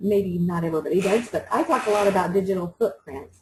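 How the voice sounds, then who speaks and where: Her voice somewhat breathy, a woman talks in a monotone, flat intonation. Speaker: teacher trainer running a workshop. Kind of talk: online workshop tutorial.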